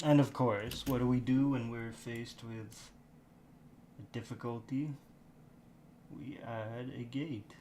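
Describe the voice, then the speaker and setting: Quiet and very slow, a man with a medium pitch and a dark, mellow tone speaks with fairly even intonation, long, frequent pauses and big swings in loudness. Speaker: livestreamer doing 3D modeling. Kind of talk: casual live-stream commentary while working. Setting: live stream. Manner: talking quietly; rambling, halting self-talk.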